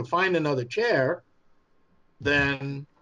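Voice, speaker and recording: With a New York accent, a man talks at a fairly high pitch and uses ordinary pitch variation. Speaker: fan film studio head. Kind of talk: podcast interview. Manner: hesitant, many fillers.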